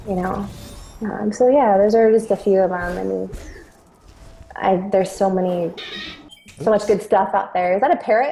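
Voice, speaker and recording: Over noticeable background noise, a woman speaks at a moderate pace and medium pitch with fairly even intonation and long, frequent pauses. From Sacramento, California. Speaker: singer and voice actress. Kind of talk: casual interview chat. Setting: call.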